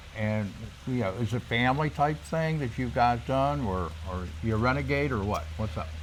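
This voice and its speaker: Using very wide pitch swings, a man talks at a fairly low pitch and a moderate pace. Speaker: realtor. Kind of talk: interview questions, casual host talk.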